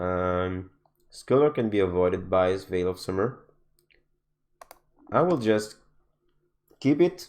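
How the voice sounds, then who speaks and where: A man with a non-native accent speaks at a very deep, low pitch with ordinary pitch variation. His pace is fairly slow, with long, frequent pauses. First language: not English. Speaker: gaming content creator. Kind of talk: gameplay commentary. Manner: halting.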